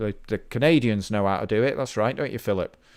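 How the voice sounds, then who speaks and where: A man speaks at a fairly low pitch with a British accent. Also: very clean recording, silent background. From Britain. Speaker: indie game developer. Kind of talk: live-streamed dev log. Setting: livestream. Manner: casual, thinking aloud with fillers.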